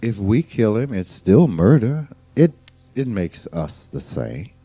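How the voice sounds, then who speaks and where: Music plays behind a man whose fairly low voice swings very widely in pitch. He speaks at a very slow pace. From US South, rural Mississippi. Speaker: spiritual teacher. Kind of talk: informal spiritual talk.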